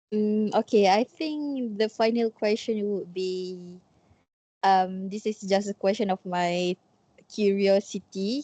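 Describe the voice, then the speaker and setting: Dark and mellow in tone, a woman with a Malaysian accent speaks very slowly at a medium pitch with ordinary pitch variation, recorded dry and close with no echo. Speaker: student interviewer. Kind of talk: interview.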